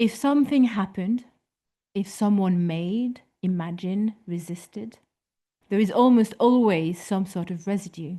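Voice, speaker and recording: A woman with a strong French accent speaks at a moderate pace and medium pitch, somewhat breathy and in a dark, mellow tone. Her pitch varies in an ordinary way, and the background is quiet. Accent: thick French. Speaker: photography historian speaker. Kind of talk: lecture read from a prepared text.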